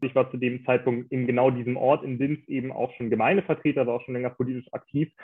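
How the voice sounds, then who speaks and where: A man speaks in an unremarkable speaking voice at medium pitch, talking at a fairly quick pace with fairly even intonation. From Rügen, northeastern Germany. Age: 20s. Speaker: local politician and activist. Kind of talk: interview. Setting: video call.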